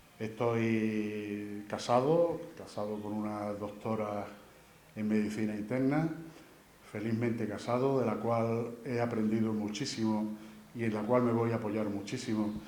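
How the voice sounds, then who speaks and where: A man with a fairly low voice speaks slowly and with fairly even intonation. The room echoes audibly, and background noise is noticeable. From Andalusia, Spain (Huelva province, raised in Seville). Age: 60s. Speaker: engineer and candidate for brotherhood council. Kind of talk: candidacy presentation speech. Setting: presentation event with audience. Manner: halting, many repetitions and fillers.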